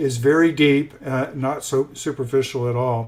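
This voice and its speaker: A man's fairly high voice with an American accent and fairly even intonation. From US South, South Carolina. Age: 60s. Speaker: author and mentor, retired IT manager. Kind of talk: interview. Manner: halting, many fillers.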